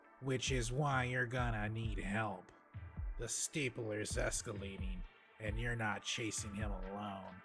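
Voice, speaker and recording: Over clear background noise, a man does a put-on character voice at a fairly low pitch and a fairly slow pace. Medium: video game. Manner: blunt, commanding.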